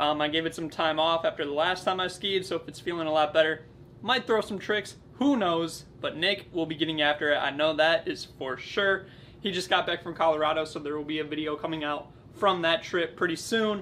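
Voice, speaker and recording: This man's tone is bright and sharp, his intonation fairly even. He talks at a fairly quick pace over light background noise. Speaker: ski vlogger. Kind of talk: casual vlog chat. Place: home room. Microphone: camera far.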